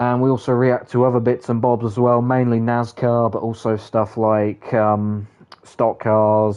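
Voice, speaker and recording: The speaker is a man with a British accent. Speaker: gaming streamer. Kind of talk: casual live stream chat.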